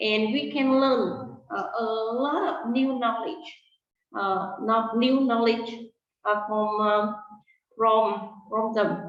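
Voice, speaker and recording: Against audible room echo, a woman speaks at a very slow pace. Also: fairly high pitch for a woman, ordinary pitch variation. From Vietnam. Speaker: English teacher. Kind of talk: interview. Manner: halting, many fillers and repeats.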